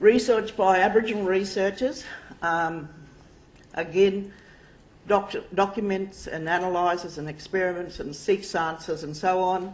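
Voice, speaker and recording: At a fairly slow pace, a woman with an Australian accent speaks with fairly even intonation and big swings in loudness, and audible room echo surrounds her voice. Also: medium pitch for a woman. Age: 60s. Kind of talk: lecture. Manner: halting.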